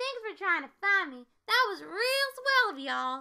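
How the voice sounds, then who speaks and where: A woman does a put-on character voice, squeaky and extremely high in pitch. Her pitch swings very widely at a moderate pace. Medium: read story. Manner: cheerful.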